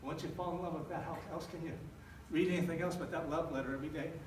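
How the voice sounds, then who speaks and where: A man with a fairly high pitch speaks with fairly even intonation. Room echo is audible, and background noise is noticeable. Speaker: pastor / church planter. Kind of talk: sermon. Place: church.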